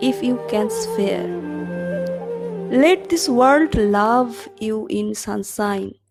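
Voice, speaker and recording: A woman speaks very slowly with music in the background. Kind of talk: poetry reading.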